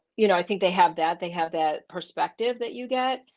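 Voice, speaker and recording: Her pitch sits fairly low. This is a woman speaking. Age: 60s. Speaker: professor. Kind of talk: casual chat. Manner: halting.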